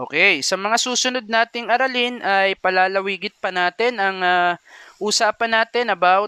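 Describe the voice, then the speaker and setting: A man with a high pitch uses a raised, projected voice in a bright, sharp tone with very even loudness. He speaks at a fairly slow pace with ordinary pitch variation, in a dry, close sound with no echo. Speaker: math teacher. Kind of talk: lecture. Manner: frequent hesitations.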